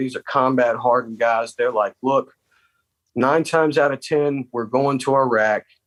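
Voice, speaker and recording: Speaking with a Southern US accent, a man talks at a moderate pace in a medium pitch with ordinary pitch variation, the sound dry and close with no echo against a quiet background. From South Carolina. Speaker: army veteran. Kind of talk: interview. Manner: halting.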